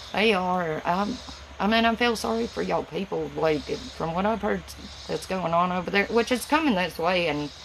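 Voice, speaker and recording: A woman with a strong Southern US accent talks at a moderate pace and medium pitch, with ordinary pitch variation and noticeable background noise. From Tennessee, US South. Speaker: livestreamer. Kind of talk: casual chat. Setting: livestream from home. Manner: words run together.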